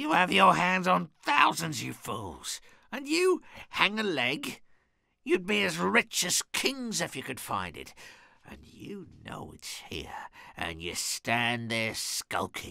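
This is a put-on character voice at a fairly slow pace. The recording is very clean, with a silent background. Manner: furious, shrill, commanding.

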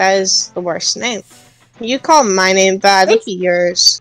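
A female-sounding voice puts on a character voice at a medium pitch. It moves at a fairly slow pace over music in the background. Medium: role play. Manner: angry, combative.

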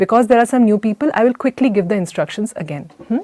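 Recorded against a quiet background, a woman's voice sounds dry, with no echo. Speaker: workshop instructor. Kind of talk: online workshop teaching. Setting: online live session. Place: home room. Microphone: lapel.

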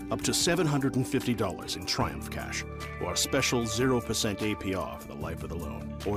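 Music plays in the background as a man talks. His pitch is fairly low and his pace fairly quick. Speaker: voice actor. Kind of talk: radio commercial read.

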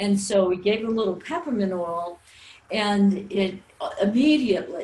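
Noticeable background noise behind speech with ordinary pitch variation. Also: woman. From New Orleans, Louisiana. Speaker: natural health teacher. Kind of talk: webinar presentation. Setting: recorded webinar.

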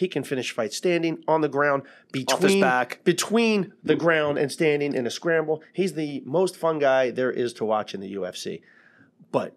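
Lively intonation from a man at a moderate pace, quiet background. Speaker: podcast co-host, MMA coach. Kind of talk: podcast commentary. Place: studio. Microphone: studio mic.

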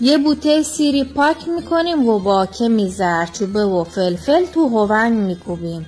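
With music in the background, a woman in a southern Iranian accent speaks at a moderate pace with hardly any pauses, very even loudness and very wide swings around her fairly high pitch. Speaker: home cook. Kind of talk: cooking tutorial.

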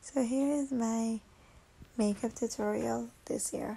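Her tone tired, dark and mellow, a woman speaks in a somewhat breathy voice at a fairly high pitch. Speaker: makeup artist. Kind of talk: tutorial voice-over. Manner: tired, casual.

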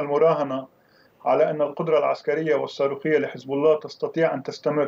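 Here is a man's voice. His pitch sits fairly high. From Lebanon. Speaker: academic and political analyst. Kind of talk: news interview. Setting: remote link from Beirut. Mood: serious, analytical. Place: home room. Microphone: video call.

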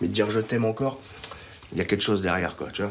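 The pace of speech is very fast. Light background noise can be heard. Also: man. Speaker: driving instructor in addiction recovery. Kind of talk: testimony; reading aloud. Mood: remorseful, emotional. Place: home room.

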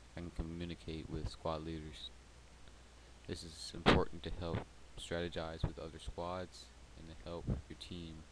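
A soft-spoken man with a very deep, low voice talks in a flat monotone, with big swings in loudness. Long, frequent pauses break up his speech over loud background noise. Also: moderate pace. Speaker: gamer making a tutorial. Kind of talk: software tutorial narration. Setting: close to microphone.

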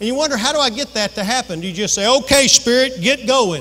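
This man talks at a fairly quick pace. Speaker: pastor. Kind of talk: sermon. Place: church.

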